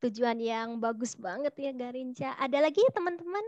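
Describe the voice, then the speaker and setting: Against a quiet background, a woman speaks at a moderate pace in a high voice with ordinary pitch variation, the sound dry with no echo. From Solo, Central Java, Indonesia; Central Java, Indonesia. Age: 30s. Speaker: career counselor; webinar host, presenter. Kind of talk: online seminar talk. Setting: video call. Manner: animated. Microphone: earbuds.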